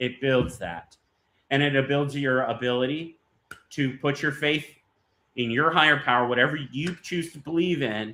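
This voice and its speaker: A man with an American accent uses a plain, everyday voice, fairly high in pitch, with ordinary pitch variation at a moderate pace. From eastern North Carolina, Jacksonville. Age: 30s. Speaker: cigar brand owner. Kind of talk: casual interview. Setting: live stream.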